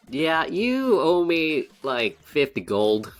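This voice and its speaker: A man in a put-on character voice drawls at a very slow pace, his fairly high pitch swinging very widely. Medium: actual play. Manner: casual, drawling, says y'all.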